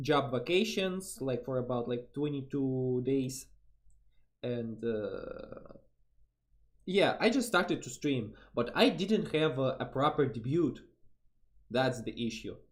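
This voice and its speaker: A man speaks very slowly in a Russian accent, with long, frequent pauses and a somewhat breathy, medium-pitched voice. His intonation is lively. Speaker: vtuber streamer. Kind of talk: casual chat. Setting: live stream collab. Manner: halting.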